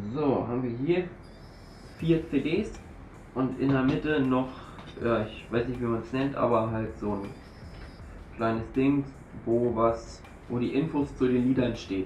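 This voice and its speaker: With long, frequent pauses and a fairly slow pace, a man speaks with ordinary pitch variation over light background noise and audible room echo. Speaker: YouTuber, shisha reviewer. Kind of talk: unboxing video. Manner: casual, informal. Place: home room. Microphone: camera far.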